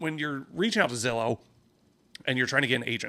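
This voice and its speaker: Loud and at a medium pitch, a man's voice comes through. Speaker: real estate agent and podcast host. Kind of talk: casual podcast monologue. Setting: office. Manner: casual, filler-heavy.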